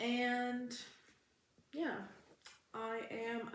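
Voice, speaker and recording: Audible room echo surrounds a woman as she talks. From Canada, Alberta. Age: 20s. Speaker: vlogger. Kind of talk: casual vlog Q&A.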